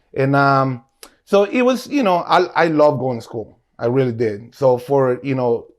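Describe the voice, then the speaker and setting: A man speaks with a Spanish accent. His pitch sits fairly high. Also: ordinary pitch variation, moderate pace. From Guatemala. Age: 40s. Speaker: restaurant owner. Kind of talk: casual interview.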